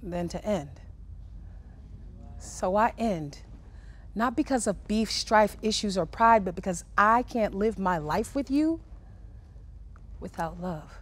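A woman speaks at a very slow pace with lively intonation and long, frequent pauses. The sound is dry with no echo. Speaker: spoken word poet. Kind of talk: poetry reading. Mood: emotional, heartfelt. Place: studio.

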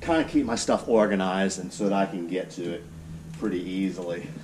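A man talks at a moderate pace. Noticeable background noise is present. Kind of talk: casual boat tour walkthrough. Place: garage. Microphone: camera far.

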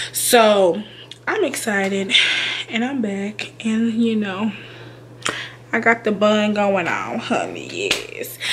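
Speech comes at a very slow pace, broken by long, frequent pauses, over light background noise. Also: woman, fairly high pitch for a woman. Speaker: YouTuber, childcare worker. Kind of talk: casual vlog talk to camera. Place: home room. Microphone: webcam.

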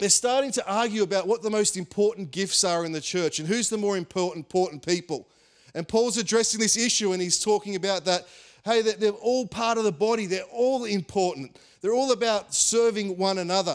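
Against a quiet background, a man talks at a fairly quick pace in a high pitch with ordinary pitch variation. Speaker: pastor. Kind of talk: sermon. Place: stage. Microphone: handheld.

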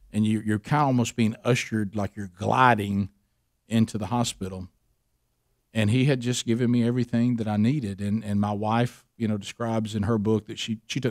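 A man with an American accent, fairly low in pitch, at a fairly quick pace with fairly even intonation, against a quiet background. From US South, Alabama. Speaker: radio host. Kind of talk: interview. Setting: studio. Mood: earnest, reflective storytelling. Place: studio. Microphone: studio mic.

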